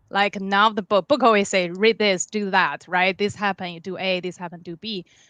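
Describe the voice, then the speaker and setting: Over a quiet background, a woman with a Chinese accent speaks at a medium pitch in a bright, sharp tone, with a dry, close sound and no echo. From China, Beijing. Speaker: dog trainer. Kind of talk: interview.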